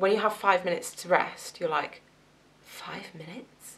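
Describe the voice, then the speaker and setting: A woman talks with a slight Southwest English accent. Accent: slight southwest English twang. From southwest England, Gloucester. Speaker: nursing student vlogger. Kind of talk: casual vlog. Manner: chatty, filler-heavy.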